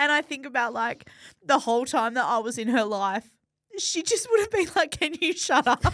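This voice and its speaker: A loud voice with an Australian accent moves through very wide pitch swings. The pace is moderate. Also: woman, high pitch for a woman. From Western Australia. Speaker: podcast host. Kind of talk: interview.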